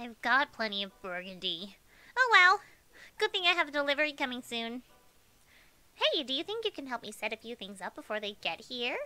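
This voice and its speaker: In a put-on character voice, a female-sounding speaker talks at a high pitch with long, frequent pauses. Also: fairly quick pace. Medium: game stream. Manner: sweet, patronizing.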